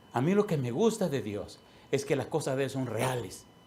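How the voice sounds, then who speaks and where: A man speaks with very wide pitch swings, and audible room echo surrounds his voice. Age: 60s. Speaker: pastor. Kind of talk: sermon.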